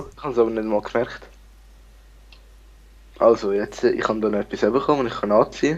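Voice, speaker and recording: A man of medium pitch talks at a very fast pace with fairly even intonation, big swings in loudness and long, frequent pauses. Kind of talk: casual gameplay commentary.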